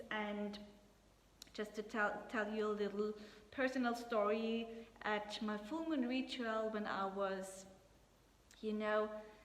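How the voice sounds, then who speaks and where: A woman at a very slow pace, with long, frequent pauses, fairly even intonation, audible room echo and noticeable background noise. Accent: non-native. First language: not English. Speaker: astrologer and tarot reader. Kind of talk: casual tarot reading talk to camera. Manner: halting, searching for words.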